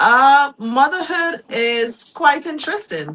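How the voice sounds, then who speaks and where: A woman with a Trinidadian accent, a high pitch and lively intonation. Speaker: guest, mother and small business owner. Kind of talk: talk show interview. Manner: hesitant, with fillers.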